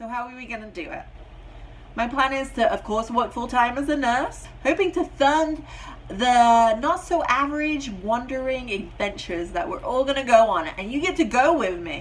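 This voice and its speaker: An animated tone with lively intonation, big swings in loudness and a moderate pace over noticeable background noise. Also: woman, high pitch for a woman. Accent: American. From Britain. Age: 30s. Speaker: vlogger and nurse. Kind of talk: casual vlog introduction. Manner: chatty, animated.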